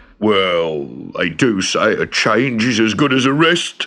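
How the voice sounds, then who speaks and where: Using a put-on, rumbling character voice, a man speaks at a fairly slow pace in a medium pitch with very even loudness. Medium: read story. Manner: grumbling, complaining.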